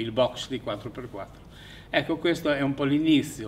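A man's voice at a moderate pace, fairly even in intonation, with audible room echo. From Fiume (Rijeka), raised in Italy: Aversa camp then Bologna. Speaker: exile witness. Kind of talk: testimony. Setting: theatre. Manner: halting.

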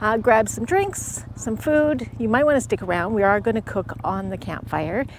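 A woman at a moderate pace with hardly any pauses, dry with no echo, and light background noise. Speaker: vlogger. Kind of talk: casual vlog chat. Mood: cheerful, upbeat. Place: forest. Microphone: lapel.

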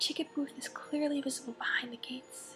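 A woman whispers at a moderate pace in a calm, soothing tone. Music plays in the background. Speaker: ASMR creator. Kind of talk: audiobook-style reading of a novel excerpt. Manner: whispered, calm, soothing.

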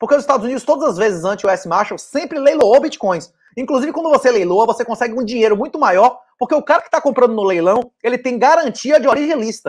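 Against a quiet background, a man with an extremely high pitch talks at a very fast pace with lively intonation. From Brazil, Salvador (Bahia). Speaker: author and bitcoin commentator; bitcoin commentator. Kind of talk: interview conversation. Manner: fast, dense. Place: home room. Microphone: earbuds.

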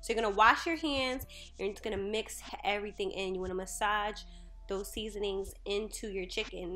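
A woman talks at a fairly quick pace with ordinary pitch variation while faint music plays in the background. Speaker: home cook vlogger. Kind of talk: tutorial. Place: kitchen. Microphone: phone near.

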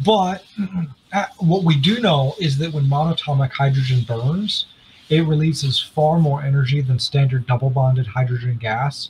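The speaker is somewhat breathy, talking at a moderate pace with very even loudness and ordinary pitch variation over light background noise. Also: man, fairly high pitch for a man. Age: 20s. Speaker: inventor and heater company founder; podcast host or guest. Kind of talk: interview. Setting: video call. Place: home room. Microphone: studio mic.

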